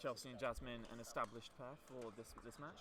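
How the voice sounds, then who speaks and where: The room gives back an audible echo. A man moves along fairly quickly, his pitch shifting in an ordinary way. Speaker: student livestream commentator. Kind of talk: live commentary. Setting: courtside livestream. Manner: loud.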